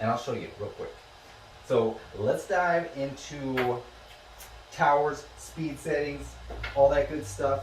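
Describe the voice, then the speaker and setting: A man talks over noticeable background noise, with audible echo from the room. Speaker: 3D printing YouTuber. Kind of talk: casual product review tutorial. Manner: fast; casual, filler-heavy.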